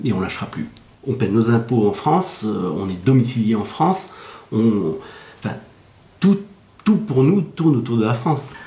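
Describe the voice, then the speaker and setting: A man's medium-pitched, somewhat breathy voice with a dark, mellow tone swings very widely in pitch, broken by long, frequent pauses and carrying audible room echo. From Belgium. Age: 60s. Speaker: Belgian resident seeking French citizenship. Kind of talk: news interview.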